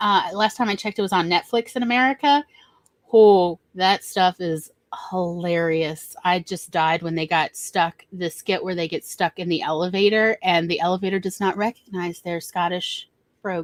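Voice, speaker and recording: Speaking with a Southern US accent, a woman keeps a moderate pace. Her medium pitch shows ordinary variation. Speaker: writer. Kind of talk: casual chat. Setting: live stream.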